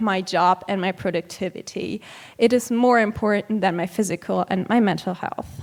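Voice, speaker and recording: The speech moves at a fairly slow pace. It comes with a German accent. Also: woman. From Germany. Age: 20s. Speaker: vegan activist and conference speaker. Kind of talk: conference talk. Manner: hesitant, with frequent um fillers.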